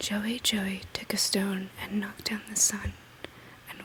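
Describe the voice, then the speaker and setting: Soft-spoken whispering comes at a very slow pace against noticeable background noise. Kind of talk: ASMR bedtime poetry reading. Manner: soft-spoken, whispery.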